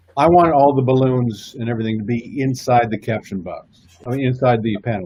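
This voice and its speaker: Somewhat breathy, a man of medium pitch speaks fairly quickly with hardly any pauses, big swings in loudness and ordinary pitch variation. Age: 60s. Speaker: comic book artist. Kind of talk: casual chat.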